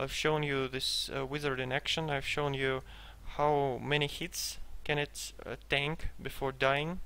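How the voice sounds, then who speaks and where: In a Russian accent, a man with a fairly high pitch and a bright, sharp tone speaks fairly slowly with monotone, flat intonation. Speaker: gamer selling a game character. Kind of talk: gameplay commentary. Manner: hesitant, many fillers.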